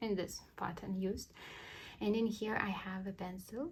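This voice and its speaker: Fairly slow speech with a non-native accent. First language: not English. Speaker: cross-stitch YouTuber. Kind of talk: tutorial. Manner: halting.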